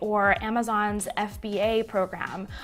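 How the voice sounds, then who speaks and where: A woman's fairly high, enthusiastic voice with music in the background. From Puerto Rico. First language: Spanish. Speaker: digital marketing YouTuber. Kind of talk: Q&A vlog.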